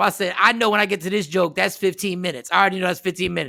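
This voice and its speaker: A man's raised, projected voice, high in pitch, with an animated, bright, sharp tone. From South Jersey. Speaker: comedian. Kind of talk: casual chat.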